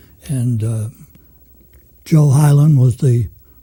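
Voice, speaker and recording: A man with an American accent speaks in a dark, mellow tone, somewhat breathy, with fairly even intonation. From Manchester, Massachusetts (North Shore). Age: 80s+. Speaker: retired journalist. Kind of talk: interview.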